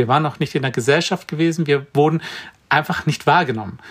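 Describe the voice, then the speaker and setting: A somewhat breathy man with a fairly high pitch and ordinary pitch variation. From Brandenburg, eastern Germany. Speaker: vegan chef and cookbook author. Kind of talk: interview.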